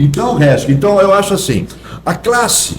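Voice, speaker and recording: Noticeable background noise fills the clip. Through it, a man talks with lively intonation. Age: 70s. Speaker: actor. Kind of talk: podcast interview.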